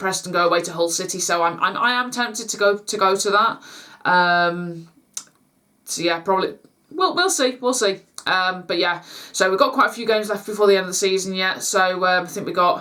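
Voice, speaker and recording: This woman has a Lancashire accent and a medium pitch. She talks at a fairly quick pace. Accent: northern English (Lancashire). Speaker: YouTube vlogger. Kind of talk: casual vlog chat to camera. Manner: halting, stumbling over words; informal, many fillers.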